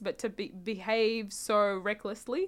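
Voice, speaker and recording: This woman has an Australian accent, a fairly high pitch and fairly even intonation. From Australia, South Sudanese family. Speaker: podcast guest. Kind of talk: casual interview.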